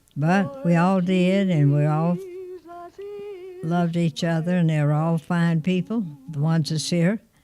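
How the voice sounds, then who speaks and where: A woman talks in a fairly low pitch. Noticeable background noise sits behind her. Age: 80s+. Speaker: grandmother interviewed by family. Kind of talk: oral history interview.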